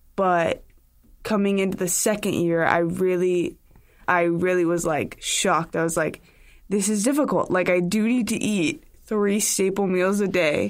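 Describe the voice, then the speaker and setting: A woman talks at a fairly slow pace in an ordinary speaking voice, with a medium pitch and ordinary pitch variation, in a very clean recording with a silent background. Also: very even loudness. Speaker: college student athlete. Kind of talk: casual chat. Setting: studio.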